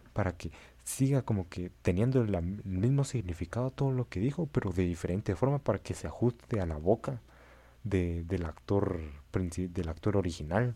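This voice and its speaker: Somewhat breathy, with a dark, mellow tone and a very deep, low pitch, a man speaks at a moderate pace with lively intonation on a very clean recording with a silent background. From Central America. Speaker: podcast co-host and editor. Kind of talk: casual chat.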